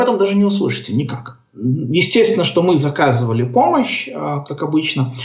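A man speaks with very wide pitch swings, and audible room echo surrounds his voice. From Belarus (Gomel). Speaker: orientalist, software developer. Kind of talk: casual interview. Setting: Skype call.

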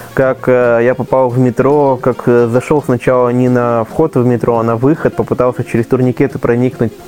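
Over music in the background, a man talks in a flat monotone at a very even loudness with hardly any pauses. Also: medium pitch for a man, moderate pace. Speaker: blind traveler and blogger. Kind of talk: casual chat.

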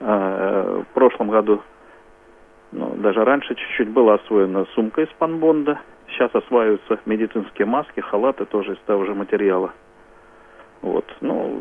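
With long, frequent pauses, a man talks at a moderate pace and fairly low pitch with ordinary pitch variation. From Smolensk region, Russia. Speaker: regional head of a society for the blind. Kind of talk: live radio interview.

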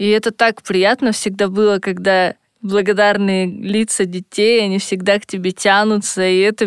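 Her pitch is medium and her pace moderate. The woman speaks with flat, monotone intonation. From Russia, Siberia (Irkutsk). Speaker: volunteer. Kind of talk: personal testimony.

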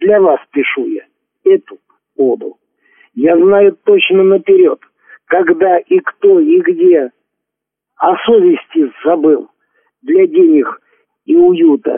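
A man speaks with extremely high pitch and very wide pitch swings. His pace is very slow, broken by long, frequent pauses. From Lipetsk region, Russia. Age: 60s. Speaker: amateur poet, retired welder. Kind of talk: personal introduction; poetry reading.

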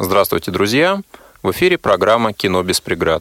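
At a moderate pace, a man talks in an unremarkable speaking voice with lively intonation, the sound dry and close with no echo. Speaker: radio host. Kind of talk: radio interview. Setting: studio.

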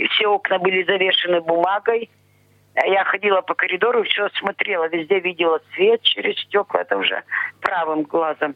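Speaking at a moderate pace with fairly even intonation and very even loudness, a woman with a medium-pitched voice is heard over noticeable background noise. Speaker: blind pensioner, interviewee. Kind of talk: interview. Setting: phone call.

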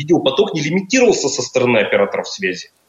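A man talks at a very fast pace. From Russia, Perm. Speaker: project manager. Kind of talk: radio interview. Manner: halting, many filler sounds.

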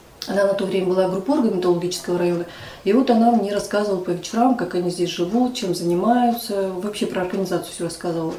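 Audible room echo and noticeable background noise surround a woman speaking very fast in a medium pitch with ordinary pitch variation. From Russia, Chelyabinsk. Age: 50s. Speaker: head of a local society for the blind. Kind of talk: interview.

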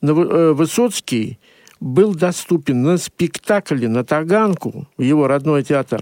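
This man speaks at a very slow pace with a fairly high pitch, lively intonation, and very even loudness. The recording is very clean with a silent background and a dry, close sound with no echo. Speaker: journalist. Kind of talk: radio talk show discussion. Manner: hesitant, many filler sounds.

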